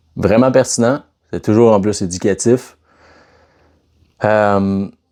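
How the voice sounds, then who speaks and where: The voice has a dark, mellow tone in a Quebec accent. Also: man. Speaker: fitness coach. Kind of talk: casual vlog talk. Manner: casual, conversational.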